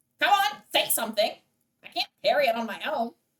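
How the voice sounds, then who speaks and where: A put-on character voice with a high pitch moves at a fairly quick pace. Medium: actual play. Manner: playful, teasing.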